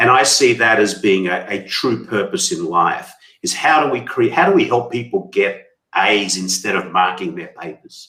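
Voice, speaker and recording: Talking at a fairly slow pace, a man with a medium pitch uses a bright, sharp tone and very wide pitch swings. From Australia, Sydney. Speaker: company CEO and author. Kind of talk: interview conversation.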